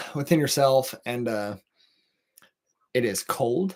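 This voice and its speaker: Mumbling with a Texan accent, a man speaks at a medium pitch. His intonation is lively. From Texas. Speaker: podcast host. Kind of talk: casual monologue. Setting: livestream at home. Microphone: camera moved closer for better audio.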